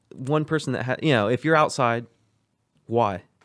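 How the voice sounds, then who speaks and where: Male voice, moderate tempo, pitch moving in an ordinary way. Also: very clean recording, silent background. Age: 20s. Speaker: podcast host. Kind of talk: casual chat.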